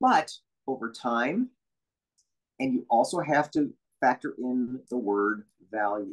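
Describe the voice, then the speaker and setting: The background stays quiet. A man speaks very slowly. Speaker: animation voiceover coach. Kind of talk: interview answer. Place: home room. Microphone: video call.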